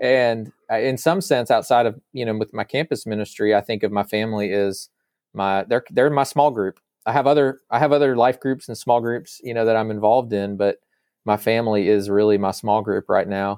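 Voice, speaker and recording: A man with an American accent and a normal speaking voice, medium pitch, ordinary pitch variation, moderate pace, very clean recording with a silent background. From Northern Virginia, later Arkansas. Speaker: campus minister. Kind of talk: interview conversation.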